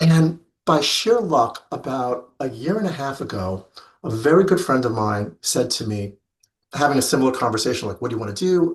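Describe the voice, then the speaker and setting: A somewhat breathy man speaks at medium pitch and a moderate pace, his pitch swinging very widely. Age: 50s. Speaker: fabric industry rep and life coach. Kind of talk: interview.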